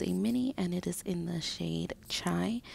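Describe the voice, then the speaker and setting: A soft-spoken woman talks in a gentle tone. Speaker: stay-at-home mom and beauty ASMR creator. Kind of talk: ASMR makeup collection video, casual talk to camera. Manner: soft-spoken, gentle.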